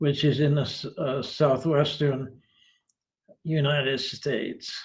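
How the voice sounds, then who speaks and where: Fairly high for a man, this somewhat breathy voice moves at a fairly slow pace in a flat monotone. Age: 80s+. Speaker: retired philosophy professor. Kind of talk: interview. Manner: halting, many fillers.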